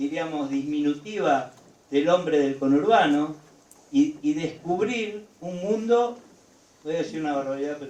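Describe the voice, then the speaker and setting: The speech moves fairly slowly with ordinary pitch variation. Room echo is audible, and background noise is noticeable. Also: man. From Argentina, rural Buenos Aires province. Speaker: union leader. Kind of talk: lecture.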